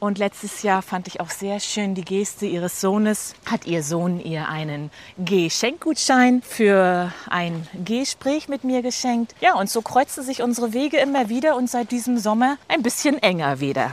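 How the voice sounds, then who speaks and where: A fairly high-pitched woman at a fairly slow pace, with very wide pitch swings. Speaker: podcast host, walking coach. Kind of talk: interview. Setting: outdoors, walking in a forest.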